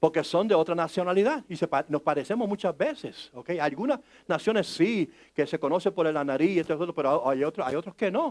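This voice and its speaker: Lively intonation and a fairly quick pace come through in a dry, close sound with no echo. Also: man. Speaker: pastor. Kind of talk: sermon. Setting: church service. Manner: conversational, engages congregation; halting, many restarts.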